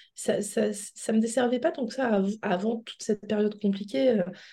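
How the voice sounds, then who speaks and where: This woman has a fairly high pitch and a dark, mellow tone. Her intonation stays fairly even. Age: 40s. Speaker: coaching client sharing her experience. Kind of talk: interview testimony.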